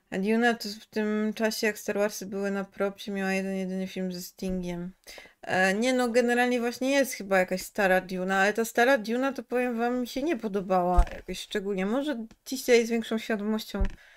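A woman talks at a fairly quick pace with ordinary pitch variation and hardly any pauses. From Poland, Kraków; Poland. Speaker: game streamer. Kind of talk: casual chat. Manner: animated. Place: home room.

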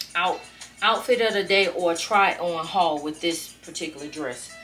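With music in the background, a woman talks at a moderate pace at a fairly low pitch, showing ordinary pitch variation. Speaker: vlogger decluttering her closet. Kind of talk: casual vlog chat. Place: home room.

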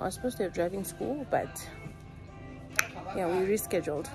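Over clear background music, a woman talks at a very fast pace with ordinary pitch variation. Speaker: vlogger. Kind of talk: casual vlog chat. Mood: excited, cheerful. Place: shop. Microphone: phone near.

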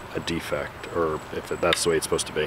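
A man talks over noticeable background noise. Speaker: gun collector vlogger. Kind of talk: casual show-and-tell vlog. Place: garden. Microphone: lapel.

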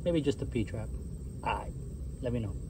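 Light background noise runs beneath a man's speech. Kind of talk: casual walkthrough commentary. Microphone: phone near.

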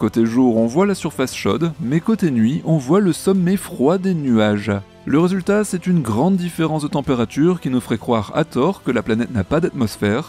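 With music in the background and a dry sound with no echo, a man speaks in a fairly high pitch with lively intonation. He hardly pauses at all. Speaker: science news presenter. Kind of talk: space news show presentation. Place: home room. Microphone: studio mic.

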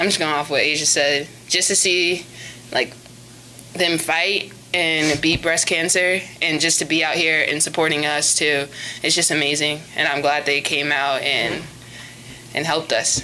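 With faint background noise behind it, the voice has a bright, sharp tone, fairly even intonation and a fairly slow pace. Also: woman, low pitch for a woman.

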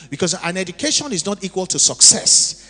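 The voice moves at a moderate pace over faint music in the background. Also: man. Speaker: preacher. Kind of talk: sermon. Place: church. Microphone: handheld.

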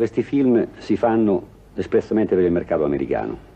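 Fairly quick speech from a man, pitch varying in an ordinary way. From Italy. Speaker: film director. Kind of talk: interview answer. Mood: joking, ironic. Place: home room. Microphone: old recording.

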